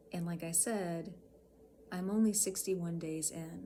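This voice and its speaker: A woman's somewhat breathy, fairly low-pitched voice at a very slow pace, with audible room echo. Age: 40s. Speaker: health vlogger with chronic illness. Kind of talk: personal vlog talk to camera. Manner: hesitant, with many fillers.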